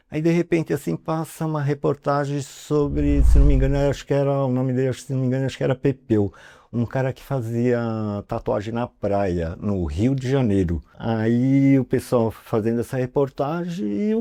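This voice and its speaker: Against a quiet background, a man with a dark, mellow tone makes very wide pitch swings, recorded with a dry, close sound and no echo. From São Paulo, Brazil. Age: 60s. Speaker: tattoo artist. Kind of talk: interview storytelling. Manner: casual, filler-heavy.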